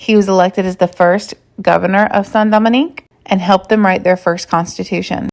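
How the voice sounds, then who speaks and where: A woman with an unremarkable speaking voice, medium pitch, fairly even intonation and a moderate pace. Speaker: history content creator. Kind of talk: educational monologue. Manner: casual with fillers.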